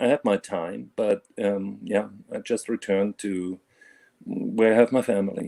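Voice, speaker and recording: In a dry, close recording with no echo, a man with a German accent speaks at a fairly slow pace. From Germany (Bavaria). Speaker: caller. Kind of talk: casual chat. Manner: halting, many fillers.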